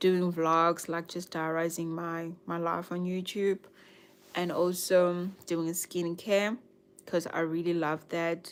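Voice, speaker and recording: A woman's very slow, monotone, flat speech at a fairly low pitch, in a slight South African accent. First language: Nguni (Zulu/Swati). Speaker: YouTuber, lifestyle and budgeting vlogger. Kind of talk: casual livestream chat. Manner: hesitant, many fillers.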